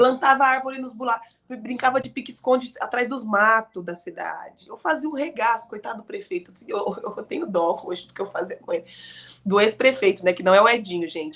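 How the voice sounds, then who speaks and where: With lively intonation, a woman speaks at a fairly quick pace in a fairly high voice. Noticeable background noise runs underneath. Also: big swings in loudness. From Araraquara, São Paulo state, Brazil. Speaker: politician. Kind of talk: interview. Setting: live studio broadcast.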